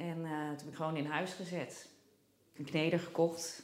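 A woman with a fairly low voice speaks at a moderate pace, with audible room echo. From Netherlands, Nijmegen. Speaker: home baker. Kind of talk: casual chat. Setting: kitchen at home.

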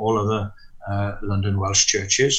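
A man talks at a moderate pace with fairly even intonation. Audible room echo is present. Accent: South Wales. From Wales, Gower near Swansea. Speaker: minister. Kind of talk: interview. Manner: hesitant.

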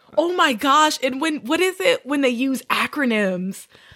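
In a slight Southern US accent, a woman speaks at a high pitch and a fairly slow pace, her bright, sharp tone animated and her intonation lively, on a very clean recording with a silent background. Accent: little Southern. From Southern Louisiana. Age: 20s. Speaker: podcast co-host. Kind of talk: casual chat. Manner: animated, laughing often.

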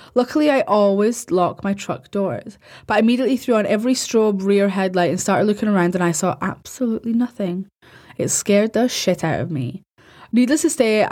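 With a British accent, a woman speaks fairly quickly at a medium pitch, her tone dark and mellow and her intonation lively. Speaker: podcast host. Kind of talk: horror story narration, reading reader-submitted first-person night shift tales aloud. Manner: casual, chatty, sometimes giggly, sweary banter in intro.

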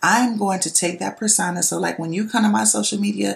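A woman talks with vocal fry. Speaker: podcast host and nurse. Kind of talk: solo monologue podcast. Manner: loud; casual, many fillers.

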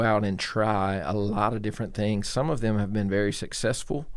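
In a Georgia accent, the speaker's pitch varies in an ordinary way, with audible room echo. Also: man. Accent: US Southern (Georgia). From Georgia, small town south of Atlanta. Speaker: pastor. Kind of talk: casual interview.

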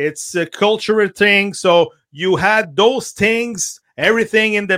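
Spoken with a Quebec accent, the voice has a bright, sharp tone. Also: man. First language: French. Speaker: soccer radio host. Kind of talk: casual chat. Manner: halting.

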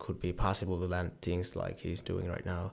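A man with a Finnish accent and a very deep, low pitch at a moderate pace. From Finland. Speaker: professional tricking athlete. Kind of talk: casual interview.

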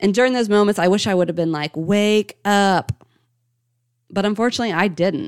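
Medium pitch from a woman, with ordinary pitch variation, a fairly quick pace and very even loudness. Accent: American. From Ohio, US Midwest. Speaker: motivational coach and podcast host. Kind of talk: personal story monologue.

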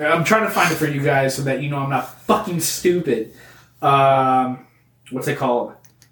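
In a normal speaking voice, a man talks at a moderate pace with a fairly high pitch and ordinary pitch variation. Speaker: comedy podcast host. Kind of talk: angry rant, mock-outraged comedic tirade about crayon colors. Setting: studio.

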